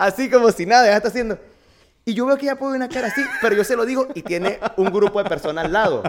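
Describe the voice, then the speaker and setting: At a very fast pace and an extremely high pitch, a man talks with ordinary pitch variation against noticeable background noise. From Venezuela, Barquisimeto (Lara). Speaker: fitness coach. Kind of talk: casual interview.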